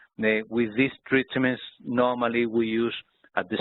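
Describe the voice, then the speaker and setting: At a moderate pace, a man with a Spanish accent speaks at a medium pitch. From Spain. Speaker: doctor. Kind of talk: webinar presentation. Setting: online webinar. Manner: halting.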